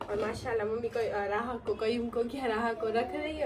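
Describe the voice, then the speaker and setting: Noticeable background noise sits behind the speaker. A woman with a fairly high pitch talks at a fairly quick pace. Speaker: family vlogger. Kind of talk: casual vlog talk. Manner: animated.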